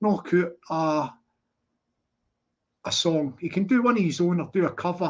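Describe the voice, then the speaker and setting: A man speaks at a high pitch with an animated tone. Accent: Scottish. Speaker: livestreamer. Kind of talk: casual livestream chat. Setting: livestream.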